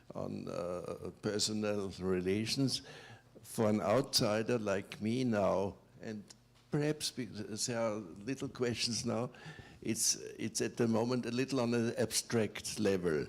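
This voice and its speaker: Speaking at a fairly slow pace, a man uses a medium pitch with ordinary pitch variation. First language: not English. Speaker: audience member. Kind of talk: audience question. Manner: halting.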